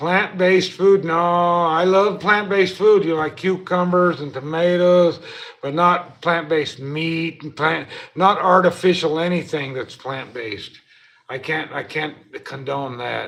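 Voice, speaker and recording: Speaking at a fairly slow pace, a man with a high pitch shows ordinary pitch variation and big swings in loudness. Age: 60s. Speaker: livestreamer and former hay farmer. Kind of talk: casual live stream chat. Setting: hotel room, 24th floor. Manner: halting.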